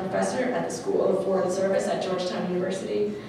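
Talking fast over clear background noise and audible room echo, a woman with a medium-pitched voice shows vocal fry and little pitch movement.

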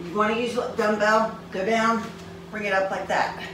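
Noticeable background noise and audible room echo surround the recording. A woman speaks at a moderate pace. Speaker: fitness instructor. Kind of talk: exercise tutorial. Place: gym. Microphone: camera far.

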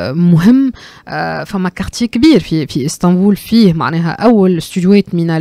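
At a moderate pace, a woman talks in a dark, mellow tone. The background is quiet and the sound is dry with no echo. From Tunisia. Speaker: cultural economy commentator. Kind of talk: radio discussion. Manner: halting, many fillers. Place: studio. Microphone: studio mic.

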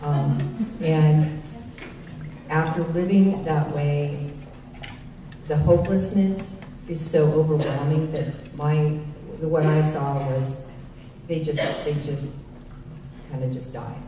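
In an American accent, a woman with a very deep, low voice speaks at a very slow pace with fairly even intonation and long, frequent pauses, amid audible room echo and light background noise. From Northern California, El Dorado County; California. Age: 50s. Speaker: change management consultant; panelist. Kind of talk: personal testimony speech; panel discussion. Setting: stage with audience. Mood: serious, reflective. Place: hall.

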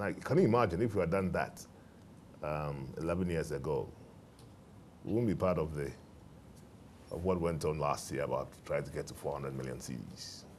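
A man with a very deep, low pitch and ordinary pitch variation talks at a moderate pace with vocal fry, long, frequent pauses and light background noise. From Ghana. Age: 50s. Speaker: bank managing director. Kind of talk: interview before a live student audience. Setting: TV studio with live audience. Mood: reflective, calm. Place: studio. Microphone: lapel.

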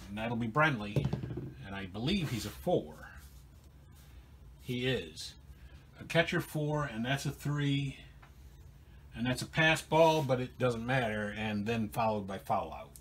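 A man speaks at a fairly slow pace, somewhat breathy, with long, frequent pauses. His intonation is lively. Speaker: narrator. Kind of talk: play-by-play commentary.

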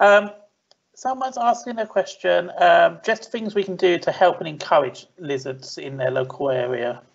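A high-pitched man at a moderate pace against a quiet background. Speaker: event host. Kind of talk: event introduction and Q&A moderating. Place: home room. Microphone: webcam.

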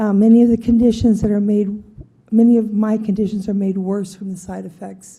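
A woman with a medium pitch speaks in a somewhat breathy, dark, mellow tone and fairly even intonation. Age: 70s. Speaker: member of the public. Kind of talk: public testimony at county meeting. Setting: county board meeting.

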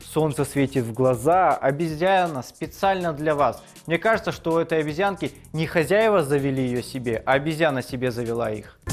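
A man at a moderate pace, faint music behind him. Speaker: show host. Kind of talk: comedic commentary. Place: studio.

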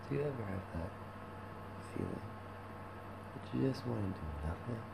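A man's voice over loud background noise. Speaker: vlogger. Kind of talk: casual vlog chat. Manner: slow, low, hungover drowsy voice. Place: home room. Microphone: webcam.

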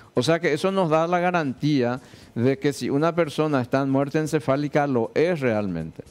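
Over faint music in the background, the voice moves at a moderate pace with ordinary pitch variation. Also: man, fairly high pitch for a man. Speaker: surgeon, director of transplant institute. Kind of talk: TV interview; interview answer. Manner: hesitant, repeats words. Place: studio. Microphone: headset.

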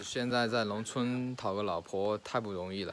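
A man's fairly low voice with fairly even intonation, over light background noise. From rural China. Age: 20s. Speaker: cattle herder and vlogger; vlogger. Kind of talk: casual vlog. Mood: joking, self-mocking. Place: street. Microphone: phone near.

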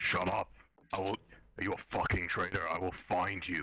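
A man in a put-on character voice growls gravelly and raspy at a very deep, low pitch and a moderate pace. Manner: aggressive, threatening.

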